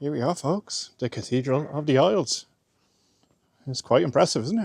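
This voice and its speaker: In an Irish accent, a man talks at a moderate pace and a fairly high pitch, with lively intonation. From Ireland. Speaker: travel vlogger. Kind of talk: casual vlog narration. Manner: soft-spoken.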